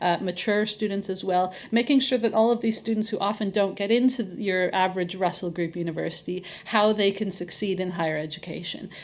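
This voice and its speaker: An ordinary speaking voice from a woman with a Canadian accent, medium in pitch, fairly even in intonation and moderate in pace. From Canada. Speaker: head of marketing at a college. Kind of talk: podcast interview.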